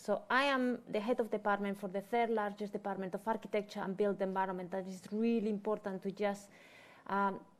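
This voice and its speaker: Speaking in a Spanish accent, this woman has a medium pitch. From Spain. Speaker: head of architecture department. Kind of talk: panel presentation. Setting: event room with live audience and online viewers.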